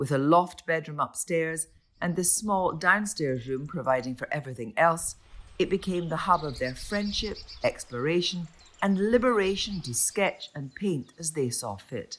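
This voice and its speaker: A woman speaks at a fairly slow pace in a fairly low pitch. Her pitch swings very widely. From Scotland. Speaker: broadcaster. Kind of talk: documentary narration.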